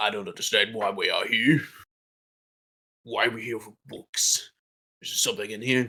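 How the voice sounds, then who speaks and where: A man's raspy, put-on character voice at medium pitch, with long, frequent pauses. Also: moderate pace. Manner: bewildered, grumbling complaint.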